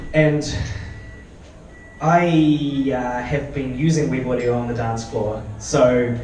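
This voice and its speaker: Amid noticeable background noise and audible room echo, a man with a New Zealand accent speaks with ordinary pitch variation. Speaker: software developer and electronic musician. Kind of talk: conference talk with live demo. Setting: meetup stage with audience. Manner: casual, hesitant with fillers.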